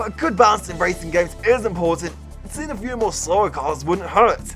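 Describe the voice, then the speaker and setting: Music in the background behind a man's fairly quick speech. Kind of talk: casual talk to camera. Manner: fast, stammering.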